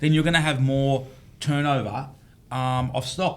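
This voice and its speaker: A man's medium-pitched voice with an Australian accent. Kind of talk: casual panel discussion. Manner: animated.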